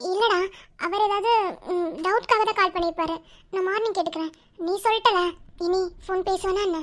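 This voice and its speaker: A cartoonish character voice from a woman, extremely high in pitch, at a moderate pace. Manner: warm, familiar, soft-spoken.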